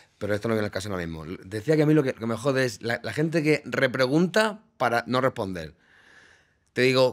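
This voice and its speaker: Very fast male speech with very wide pitch swings, over a quiet background. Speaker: radio presenter and podcast co-host. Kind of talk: casual banter with co-host in a comedy podcast. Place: studio. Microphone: studio mic.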